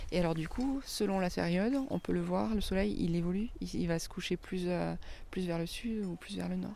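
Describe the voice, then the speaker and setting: Room echo is audible as a woman talks at an even, middling speed. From southern France, Avignon. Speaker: winemaker. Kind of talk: casual chat.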